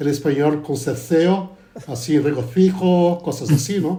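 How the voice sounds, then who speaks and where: This man talks fairly slowly in a fairly high voice, keeping his intonation fairly even. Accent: Portuguese. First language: Portuguese (speaking Spanish). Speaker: pastor. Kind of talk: casual religious discussion.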